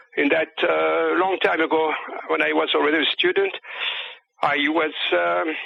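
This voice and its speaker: There are long, frequent pauses as a man with a French accent speaks at a moderate pace with very even loudness. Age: 60s. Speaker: UFO researcher and author. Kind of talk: interview. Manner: halting.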